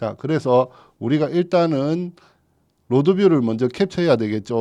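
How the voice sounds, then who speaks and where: Over a quiet background, a man with a fairly high pitch and a dark, mellow tone speaks at a moderate pace, his pitch swinging very widely. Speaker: real estate broker teaching staff. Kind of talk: tutorial. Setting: studio. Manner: casual, conversational; stumbles over words.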